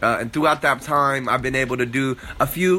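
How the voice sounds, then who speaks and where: An energetic man with an American accent speaks at a medium pitch over noticeable background noise. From San Diego, California. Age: 20s. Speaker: podcast host, entrepreneur. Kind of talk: casual monologue.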